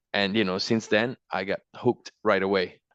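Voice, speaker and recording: Against a quiet background, a man with an Italian accent speaks at a moderate pace and a fairly low pitch, the sound dry and close with no echo. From Italy. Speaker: micropaleontologist and mudlark. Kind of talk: interview.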